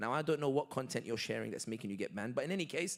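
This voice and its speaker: With a London accent, a man speaks in a bright, sharp, animated tone with lively intonation. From London, England. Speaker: political commentator. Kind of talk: Q&A talk.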